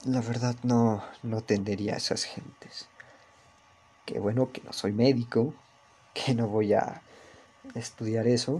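With a Mexico City accent, a man talks at a fairly slow pace in a medium-pitched voice, keeping his intonation fairly even while his loudness swings widely and long, frequent pauses break up his speech. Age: young. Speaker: podcaster. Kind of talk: casual monologue. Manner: monotone.

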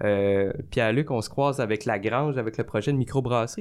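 The voice is a man's, on a very clean recording with a silent background. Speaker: comedian and college teacher. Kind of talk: casual chat. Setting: studio.

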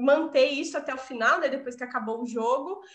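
A woman speaks in an animated tone at a high pitch. Her pitch variation is ordinary. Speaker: podcast host and university lecturer. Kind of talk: casual chat.

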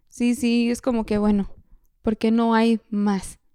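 Dry and close with no echo, the recording captures a woman's dark, mellow tone at a fairly high pitch. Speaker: podcast co-host. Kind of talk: casual chat. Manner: code-switching between Spanish and English.

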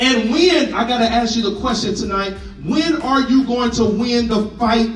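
Over noticeable background noise, a man talks at a fairly slow pace in an extremely high pitch. His tone is animated, with ordinary pitch variation. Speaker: pastor. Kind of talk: sermon. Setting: church with congregation. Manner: animated, call-and-response preaching; conversational, humorous, urgent.

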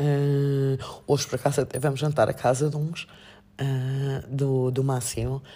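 Very slowly and in a flat monotone, a woman speaks with a very deep, low pitch and a dark, mellow tone. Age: 50s. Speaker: master's student and coach. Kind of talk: casual chat.

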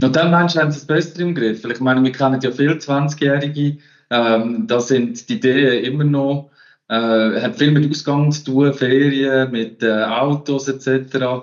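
A plain, everyday voice from a man at a fairly slow pace, with ordinary pitch variation. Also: fairly high pitch for a man. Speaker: finance podcast host. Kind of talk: casual chat.

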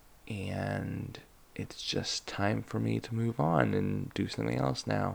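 Slow and fairly even in intonation, a man speaks in a fairly low voice. There is vocal fry and a slightly husky edge.

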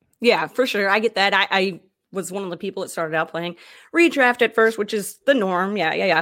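On a very clean recording with a silent background, a woman talks at a fairly quick pace in a normal speaking voice. Her pitch is medium, with ordinary variation. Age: 30s. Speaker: podcast host. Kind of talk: casual chat.

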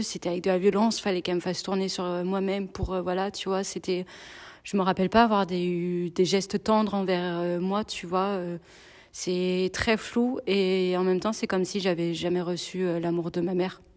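Monotone, flat intonation marks this woman's delivery. She speaks at a moderate pace and medium pitch. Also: very clean recording, silent background. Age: 30s. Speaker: single mother sharing abuse survivor story. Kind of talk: personal testimony interview. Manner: hesitant, many fillers.

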